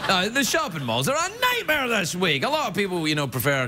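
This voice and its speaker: Through noticeable background noise, a man speaks at a very fast pace with lively intonation. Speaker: talk show host. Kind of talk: comedy monologue. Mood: playful, self-mocking. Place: stage. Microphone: lapel.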